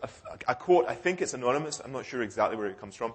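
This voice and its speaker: A man with a British accent talks at medium pitch with lively intonation. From United Kingdom. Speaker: cryptography researcher. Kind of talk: conference talk. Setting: conference hall with audience. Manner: hesitant with fillers and self-corrections.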